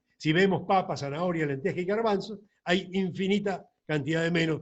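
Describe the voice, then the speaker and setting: His pace is moderate. The man's intonation is fairly even. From Argentina, La Plata. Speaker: doctor. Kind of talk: lecture. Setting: recorded alone at a computer.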